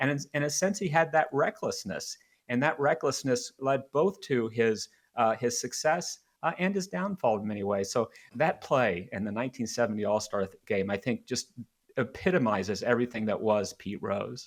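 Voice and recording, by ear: This man speaks at a moderate pace and a medium pitch. His intonation is lively.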